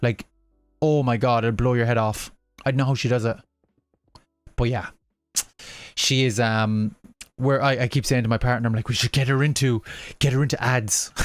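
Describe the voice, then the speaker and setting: Over music in the background, a man speaks at a moderate pace and medium pitch, with fairly even intonation, very even loudness, and long, frequent pauses. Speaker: gaming livestreamer. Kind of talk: casual livestream chat. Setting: home livestream, baby asleep.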